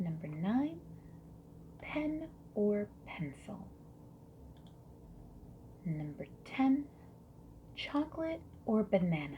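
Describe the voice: Speaking at a very slow pace with long, frequent pauses, a woman uses medium pitch and big pitch swings.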